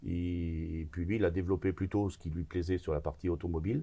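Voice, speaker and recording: A man's very deep, low voice with a dark, mellow, somewhat breathy tone, fairly even intonation and a moderate pace. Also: very clean recording, silent background. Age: 60s. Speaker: business owner in construction. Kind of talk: interview conversation. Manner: hesitant, many filler sounds.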